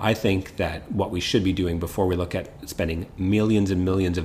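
Over noticeable background noise, a man with a Canadian accent speaks at a very deep, low pitch in a monotone, flat intonation. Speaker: criminal defence lawyer, podcast host. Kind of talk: casual legal discussion.

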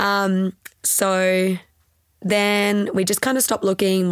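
A woman with an Australian accent. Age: 20s. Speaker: pilates studio owner, retired physio. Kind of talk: casual interview chat. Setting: podcast recording.

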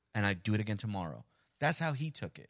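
Talking very fast with lively intonation, a man speaks in a New York accent. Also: very clean recording, silent background. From Colombia (Medellín), raised in Queens, New York. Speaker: podcast host. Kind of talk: casual chat.

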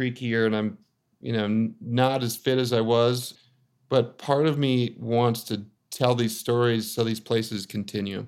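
A man with a General American accent talks in a plain, everyday voice at medium pitch, with fairly even intonation and a fairly slow pace. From Colorado. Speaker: photographer and author. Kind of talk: casual chat.

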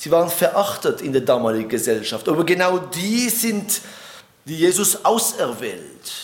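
Amid noticeable background noise and audible room echo, a man with a high pitch speaks at a moderate pace, using very wide pitch swings. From Switzerland. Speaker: preacher. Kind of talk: sermon.

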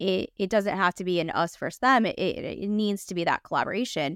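In a Los Angeles accent, a woman speaks at a moderate pace with medium pitch and ordinary pitch variation, in a dry, close, very clean recording with no echo and a silent background. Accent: Los Angeles, some vocal fry. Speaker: podcast host. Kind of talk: casual interview chat.

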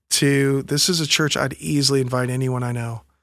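The speaker has a plain, everyday voice and talks at a moderate pace. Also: man, very clean recording, silent background. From US South, Pensacola Florida and small-town Alabama. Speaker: pastor. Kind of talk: interview conversation.

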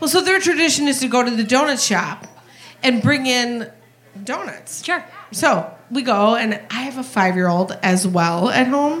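In a room with audible echo, a woman with a high voice speaks at a fairly slow pace with very wide pitch swings. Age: 40s. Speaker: audience member at live show. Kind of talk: live podcast, sharing a story. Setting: stage with audience. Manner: halting.

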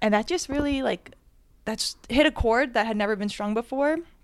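A woman with an American accent talks at a fairly quick pace, with ordinary pitch variation and an ordinary speaking voice. The recording is very clean, with a silent background. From New Jersey. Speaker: public speaking teacher. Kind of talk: live storytelling to small audience. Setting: live event in an apartment with audience, handheld mic.

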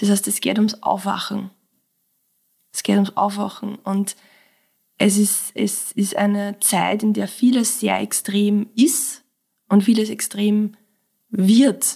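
Speaking very slowly with long, frequent pauses, a woman uses monotone, flat intonation at a medium pitch, her dark, mellow tone somewhat breathy. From Austria, Mostviertel (Lower Austria). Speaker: clinical psychologist and breathwork teacher. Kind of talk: casual interview conversation.

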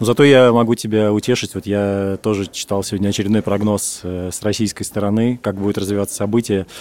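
Hardly any pauses break the fairly quick pace of a man with a fairly low pitch and monotone, flat intonation. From Russia. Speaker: journalist, podcast co-host. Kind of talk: casual chat.

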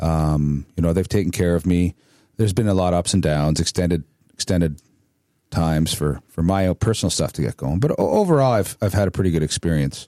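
A man's very deep, low voice in a Canadian accent, dark and mellow in tone, with a dry, close sound and no echo. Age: 50s. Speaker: podcast host, army veteran. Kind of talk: casual chat.

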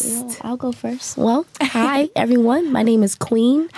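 A woman at a fairly slow pace with fairly even intonation over noticeable background noise. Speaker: podcast guest.

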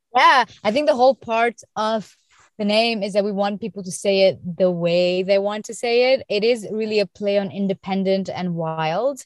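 A woman with an ordinary speaking voice talks with ordinary pitch variation. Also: medium pitch for a woman, moderate pace, dry, close sound with no echo. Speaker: beauty and fashion influencer and founder. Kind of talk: casual interview chat.

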